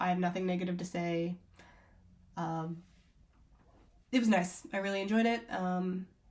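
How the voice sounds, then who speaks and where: Music plays in the background as the speaker goes at a moderate pace. Intonation stays fairly even, with long, frequent pauses. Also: woman. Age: 20s. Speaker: travel vlogger. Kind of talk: casual review to camera. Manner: casual, filler-heavy.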